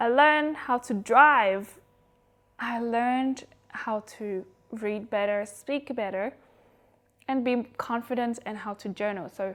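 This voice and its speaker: The woman talks at a very slow pace, with long, frequent pauses. Her voice is fairly high, and its pitch varies in an ordinary way. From Vietnam. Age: 20s. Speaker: YouTuber. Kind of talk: casual vlog introduction.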